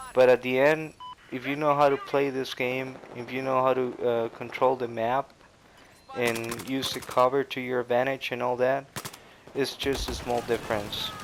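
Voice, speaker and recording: A man's medium-pitched, monotone voice at a moderate pace, with noticeable background noise. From Costa Rica. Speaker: gaming commentator. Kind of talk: gameplay commentary. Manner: halting, many fillers.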